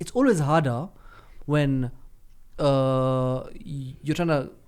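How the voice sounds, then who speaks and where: A man with a Kenyan accent speaks at a very slow pace. His fairly high voice has fairly even intonation. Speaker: football pundit. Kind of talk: casual chat.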